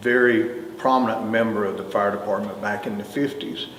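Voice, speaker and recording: A man's medium-pitched voice with a North Carolina accent, with noticeable background noise and audible room echo. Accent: North Carolina Southern. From US South, Greensboro, North Carolina. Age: 60s. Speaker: retired fire chief. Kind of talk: oral history interview. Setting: museum.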